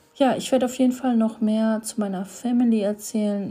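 A woman speaks at a moderate pace in a somewhat breathy voice with a fairly high pitch and a dark, mellow tone. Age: 30s. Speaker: podcaster. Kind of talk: casual monologue. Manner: hesitant, many filler sounds.

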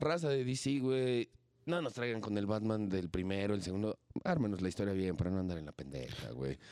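A man's fairly low, dark, mellow voice at a fairly quick pace, with very wide pitch swings. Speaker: podcast co-host. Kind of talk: casual chat.

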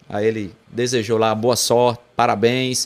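This man has an ordinary speaking voice at a medium pitch. He talks at a fairly slow pace. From João Pessoa, Paraíba, Brazil. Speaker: celebrity impersonator entertainer. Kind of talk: casual interview chat. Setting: studio.

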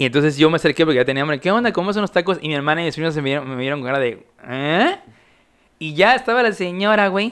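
Very fast and lively in intonation, a man speaks in a fairly high voice with a Mexican accent. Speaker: podcast host. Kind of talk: casual chat.

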